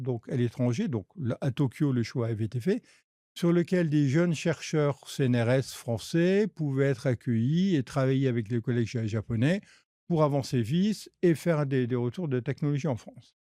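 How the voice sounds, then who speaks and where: In a very clean recording with a silent background and a dry, close sound with no echo, a man with a dark, mellow tone and a fairly high pitch speaks at a fairly slow pace with very wide pitch swings. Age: 60s. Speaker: researcher and engineer. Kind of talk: podcast interview. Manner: halting, many fillers and repetitions.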